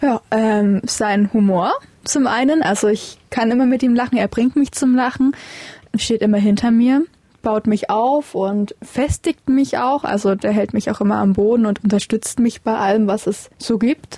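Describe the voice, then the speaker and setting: A woman speaks at a fairly slow pace in a somewhat breathy voice with a dark, mellow tone, ordinary pitch variation and very even loudness. The sound is dry and close with no echo. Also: fairly high pitch for a woman. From Saxony, Vogtland. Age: young. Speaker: interviewee, young wife. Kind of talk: interview. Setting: in a caravan.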